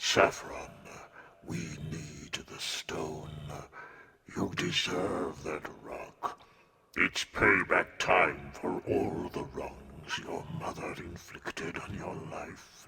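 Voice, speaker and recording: A man's put-on character voice, very deep and low, with fairly even intonation at a very slow pace. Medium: read story. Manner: grave, solemn.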